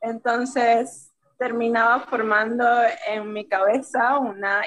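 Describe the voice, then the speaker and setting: A woman has an ordinary speaking voice with a fairly high pitch and fairly even intonation. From Venezuela. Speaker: illustrator, language teacher. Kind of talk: casual interview chat.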